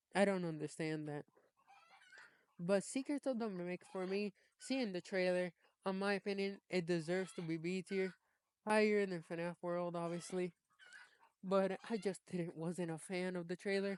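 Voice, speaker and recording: A moderate pace with fairly even intonation, broken by long, frequent pauses. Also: woman, medium pitch for a woman. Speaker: gaming YouTuber. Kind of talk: casual tier list commentary.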